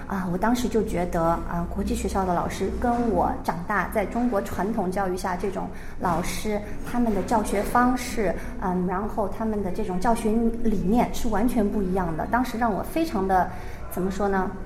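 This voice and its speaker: Music plays behind a woman with a medium pitch and ordinary pitch variation. She talks at a moderate pace amid audible room echo. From China. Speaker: primary school Chinese teacher. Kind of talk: radio interview.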